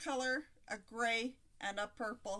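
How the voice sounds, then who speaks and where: Her raised, projected voice has a bright, sharp tone as the woman speaks at a very slow pace. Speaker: crochet video creator. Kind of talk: live stream crochet tutorial chat. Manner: slurred speech; hesitant with fillers.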